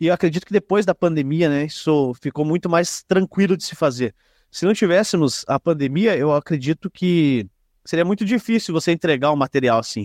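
Against a quiet background, a man with a plain, everyday voice speaks at a fairly high pitch with lively intonation, the sound dry and close with no echo. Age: 20s. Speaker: podcaster and local football league president. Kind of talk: casual interview chat.

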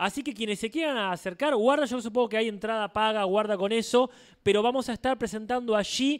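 A man speaks in a high pitch with ordinary pitch variation at a fairly quick pace. The recording is very clean, with a silent background. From Argentina. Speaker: podcast co-host. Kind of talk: casual chat. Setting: live show with audience.

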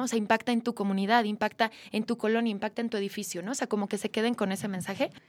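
A woman speaking at a very fast pace. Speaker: podcast host. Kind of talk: interview.

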